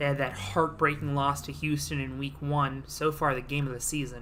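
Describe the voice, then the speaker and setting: A woman speaks at a very deep, low pitch with vocal fry and a bright, sharp tone, and audible room echo surrounds her. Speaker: simulated league commentator. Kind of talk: play-by-play commentary.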